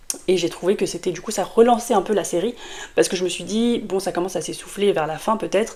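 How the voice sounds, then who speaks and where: This woman talks at a very fast pace. Her pitch is medium, with ordinary variation. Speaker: book youtuber. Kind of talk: casual vlog review. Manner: hesitant, many fillers.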